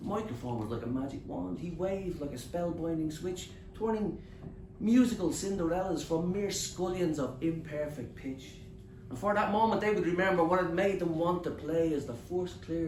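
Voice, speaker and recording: Over noticeable background noise, a man talks at a moderate pace in a high voice. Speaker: spoken word poet. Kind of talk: live poetry performance. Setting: bookshop open mic.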